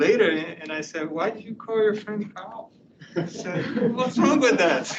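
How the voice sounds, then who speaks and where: Through noticeable background noise and audible room echo, a man with a high pitch and lively intonation speaks at a fairly slow pace, with big swings in loudness. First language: not English. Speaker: university professor. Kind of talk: lecture.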